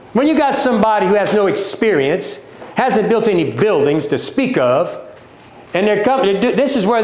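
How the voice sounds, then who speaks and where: In a Louisiana accent, a man with a high voice speaks in an animated tone, with audible room echo and noticeable background noise. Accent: Louisiana Southern US. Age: 60s. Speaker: company owner presenting a livestream. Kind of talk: livestream sales talk. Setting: social media livestream.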